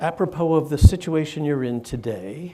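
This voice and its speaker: A man's dark, mellow voice at a fairly slow pace, with lively intonation. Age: 70s. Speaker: psychiatrist and neuroscientist. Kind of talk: interview conversation. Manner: halting with fillers.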